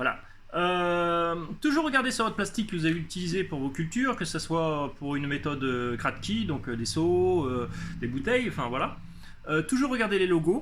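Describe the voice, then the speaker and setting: Audible room echo surrounds a man whose high-pitched voice swings very widely in pitch. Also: moderate pace. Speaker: hydroponics hobbyist youtuber. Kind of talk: casual tutorial. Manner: halting, many hesitations.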